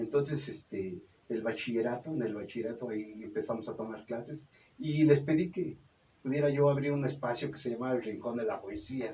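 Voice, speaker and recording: Medium-pitched male speech with ordinary variation in pitch. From Mexico, Zumpango, State of Mexico. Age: 60s. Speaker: puppeteer and storyteller. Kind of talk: radio interview. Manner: halting, many fillers.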